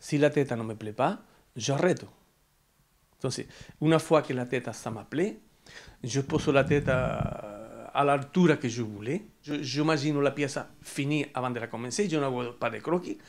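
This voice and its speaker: A man with a fairly high pitch talks fairly slowly, leaving long, frequent pauses, and his pitch varies in an ordinary way. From Andalusia, Spain. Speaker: sculptor. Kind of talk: interview; interview answer. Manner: halting. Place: home room. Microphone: lapel.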